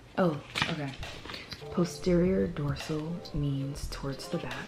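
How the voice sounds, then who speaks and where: A woman whispers at a very slow pace amid audible room echo and noticeable background noise. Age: 20s. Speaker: vlogger and student. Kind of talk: casual vlog talk while studying. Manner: whispering; soft-spoken.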